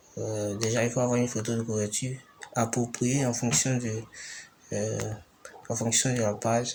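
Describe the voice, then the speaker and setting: A man speaks at a medium pitch and fairly slow pace. His intonation is monotone and flat, with noticeable background noise around him. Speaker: tutorial maker. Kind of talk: screen-recorded tutorial narration.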